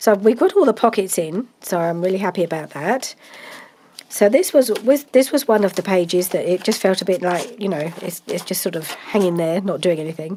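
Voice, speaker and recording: Noticeable background noise surrounds the recording. A woman speaks over it with lively intonation. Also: medium pitch for a woman. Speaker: craft video maker. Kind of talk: craft tutorial. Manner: hesitant, many fillers.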